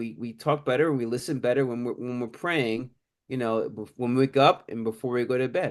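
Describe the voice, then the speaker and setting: Against a quiet background, a man with an ordinary speaking voice talks at a fairly quick pace. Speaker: attorney and crypto author. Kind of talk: interview.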